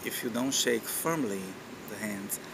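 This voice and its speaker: A man with a Portuguese accent speaks at a moderate pace and a medium pitch. Noticeable background noise and audible room echo fill the recording. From Brazil. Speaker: university lecturer and lab manager. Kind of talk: informal talk to camera. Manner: hesitant, many fillers.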